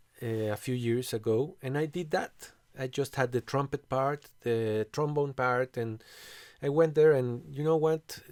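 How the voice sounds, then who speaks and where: In a Spanish accent, a man speaks at a moderate pace with fairly even intonation, the sound dry and close with no echo on a very clean recording with a silent background. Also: medium pitch for a man. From Mexico City. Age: 40s. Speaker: composer and bandleader. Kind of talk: casual chat. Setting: recording studio.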